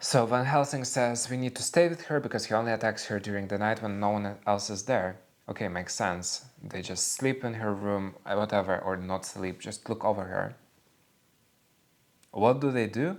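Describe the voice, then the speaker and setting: Speaking with a non-native accent, a man uses a fairly low-pitched voice. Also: ordinary pitch variation, moderate pace. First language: not English. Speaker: book and culture vlogger. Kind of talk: casual monologue review. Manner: animated.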